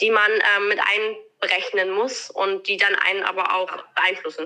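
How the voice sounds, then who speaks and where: At a fairly slow pace, a woman speaks in a fairly high pitch with a plain, everyday voice. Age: 20s. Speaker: eventing rider. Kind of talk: interview.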